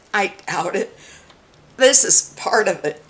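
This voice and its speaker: Noticeable background noise sits behind a woman with an American accent and a fairly high pitch. She speaks at a fairly slow pace with lively intonation. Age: 60s. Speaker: mayoral candidate. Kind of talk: reading aloud a campaign statement; political commentary vlog.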